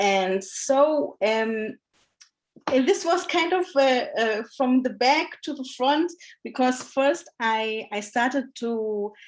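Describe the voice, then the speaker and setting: Speaking at a very slow pace, a woman with a German accent uses a high pitch and lively intonation. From Germany. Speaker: academic, education lecturer. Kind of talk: panel discussion. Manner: hesitant, many fillers.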